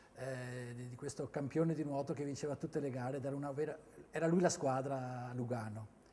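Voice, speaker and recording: A man's somewhat breathy, dark and mellow voice, fairly high in pitch, at a moderate pace. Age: 60s. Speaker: former swimmer and swimming coach. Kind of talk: interview testimony. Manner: halting, with frequent fillers and repetitions.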